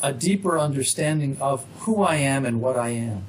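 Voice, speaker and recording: A man talks at a fairly slow pace with lively intonation. Noticeable background noise is present. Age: 60s. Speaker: author. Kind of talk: interview.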